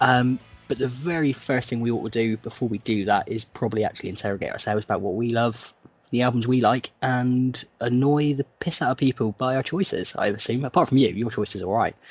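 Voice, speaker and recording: In an unremarkable speaking voice of medium pitch, a man talks at a fairly quick pace with a dry, close sound and no echo. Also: ordinary pitch variation. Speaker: podcast host.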